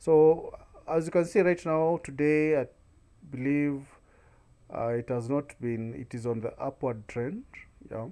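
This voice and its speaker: With a dark, mellow tone and a fairly high pitch, a man speaks at a fairly slow pace with ordinary pitch variation. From Kenya. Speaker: YouTube tutorial creator; online seller tutor. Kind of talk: screen-recorded tutorial. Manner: frequent filler hesitations. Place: home room. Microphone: webcam.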